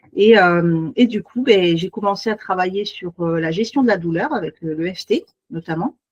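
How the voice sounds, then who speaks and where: Here a woman speaks at medium pitch and a fairly slow pace. The sound is dry and close, with no echo. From Paris region, France. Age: 40s. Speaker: beautician and naturopath. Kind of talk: self-presentation in online meeting. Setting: video call. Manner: hesitant, many fillers.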